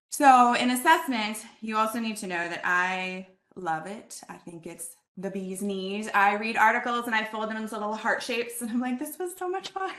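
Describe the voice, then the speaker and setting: With a bright, sharp tone and fairly high pitch, this woman sounds animated, her intonation lively and her loudness swinging widely. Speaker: conference presenter on assessment. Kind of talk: presentation. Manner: fast.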